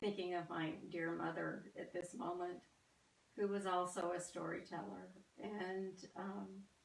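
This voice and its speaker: With an American accent, a woman speaks fairly slowly at a fairly low pitch in a monotone, flat delivery, with audible room echo. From US South. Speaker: artist. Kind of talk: artist talk. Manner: halting, many fillers.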